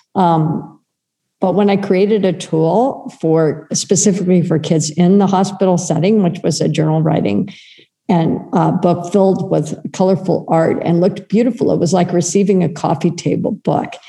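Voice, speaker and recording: Using a plain, everyday voice, a woman with an American accent talks at a moderate pace with ordinary pitch variation. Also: very even loudness. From United States. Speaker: children's wellness project founder. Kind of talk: interview conversation.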